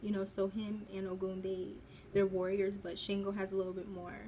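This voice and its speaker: A woman's medium-pitched voice at a moderate pace. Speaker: spiritual content creator. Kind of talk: casual commentary video. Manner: halting, stuttering.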